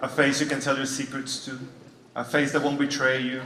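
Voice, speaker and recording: With a Venezuelan accent, a man speaks amid noticeable background noise and audible room echo. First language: Spanish. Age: 30s. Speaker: comedian. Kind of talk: stand-up. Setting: stage with audience.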